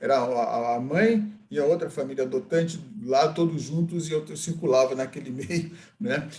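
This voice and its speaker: Ordinary pitch variation marks the fairly high voice of this man. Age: 60s. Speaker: adoptee and adoption advocate. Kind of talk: group discussion. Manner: halting.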